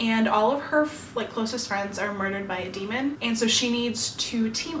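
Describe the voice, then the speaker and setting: A woman speaks in an upbeat tone at a moderate pace, her pitch fairly high with ordinary variation. Noticeable background noise runs underneath. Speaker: BookTuber. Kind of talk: casual talk to camera. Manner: upbeat, chatty.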